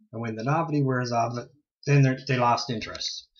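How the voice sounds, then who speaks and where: A man's somewhat breathy voice holds fairly even intonation. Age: 40s. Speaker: ghost hunter video blogger. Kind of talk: casual monologue. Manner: halting.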